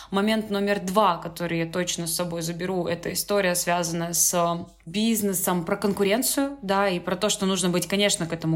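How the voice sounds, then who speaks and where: Over noticeable background noise, a woman speaks fairly quickly with a fairly low pitch and fairly even intonation. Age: 20s. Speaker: business development expert. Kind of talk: casual chat.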